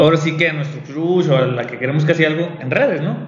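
Over noticeable background noise and audible room echo, a man talks at a fairly quick pace with a fairly high pitch. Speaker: podcast host. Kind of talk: casual chat. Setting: café.

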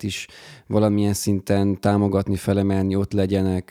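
Dry, close, and echo-free on a very clean recording with a silent background, a man's fairly low voice has a dark, mellow tone and a moderate pace. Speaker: podcast host. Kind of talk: casual interview.

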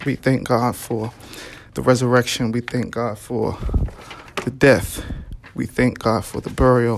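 Speaking at a fairly slow pace with long, frequent pauses, the voice has an American accent over noticeable background noise. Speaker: preacher. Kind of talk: Easter sermon, preacher in full flow, exhorting and building to a rousing call. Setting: online or broadcast service during pandemic, listeners at home or in cars. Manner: animated, rhythmic, emphatic repetition; fervent, encouraging, call-and-response cadence.

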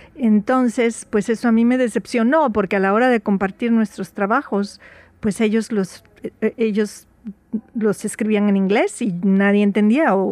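A woman's unremarkable speaking voice, medium pitch, fairly even intonation, very even loudness, moderate pace, dry and close with no echo. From Veracruz, Mexico. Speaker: writer. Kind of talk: radio interview.

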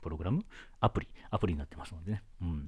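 Speaking at a very fast pace, a man comes through clearly. The recording is very clean, with a silent background. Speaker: solo podcast host. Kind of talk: casual solo talk. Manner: fast-talking; many fillers and hesitations.

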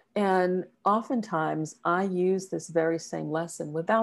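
On a very clean recording with a silent background, a woman talks fairly slowly in an unremarkable speaking voice with ordinary pitch variation. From US South, small-town South Carolina. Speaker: executive coach and consultant. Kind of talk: interview storytelling.

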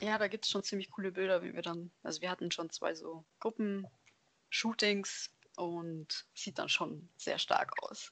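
Here is a woman with a normal speaking voice at a medium pitch. She talks at a fairly slow pace with fairly even intonation. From Germany, Allgäu (Bavarian Swabia). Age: 20s. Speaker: lab technician and cosplayer. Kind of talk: casual interview.

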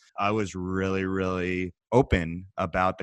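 A man's very deep, low voice with a Canadian accent, in a dry, close sound with no echo. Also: very clean recording, silent background. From Canada. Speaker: startup CEO.

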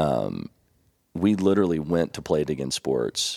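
A man speaks with a Kentucky accent, vocal fry and ordinary pitch variation. The recording is very clean, dry and close, with a silent background and no echo. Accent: Kentucky Southern US. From Kentucky (Elizabethtown). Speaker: financial advisor. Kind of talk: casual interview.

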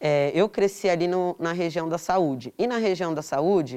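A woman's plain, everyday voice at a medium pitch, with lively intonation. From São Paulo, Brazil. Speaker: artist and interviewee. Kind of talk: casual interview conversation. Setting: in-person recording at a cultural centre.

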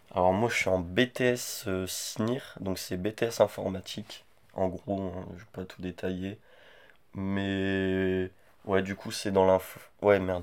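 On a very clean recording with a silent background, a man with a very deep, low pitch speaks very slowly in a monotone, flat intonation, with long, frequent pauses and big swings in loudness. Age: 20s. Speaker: podcast host's boyfriend, student. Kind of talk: casual chat.

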